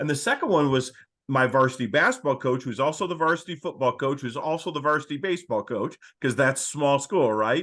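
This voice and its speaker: A man with an American accent and a normal speaking voice, fairly high in pitch with ordinary pitch variation, at a fairly quick pace over a quiet background. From Michigan, US Midwest. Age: 60s. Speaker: coaching consultant, former coach. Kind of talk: podcast interview.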